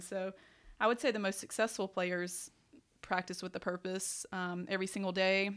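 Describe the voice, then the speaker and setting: In a Southern US accent, the speaker goes at a fairly quick pace on a very clean recording with a silent background. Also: woman. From US South, upstate South Carolina. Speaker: college golf coach. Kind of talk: casual interview. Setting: in person at golf complex.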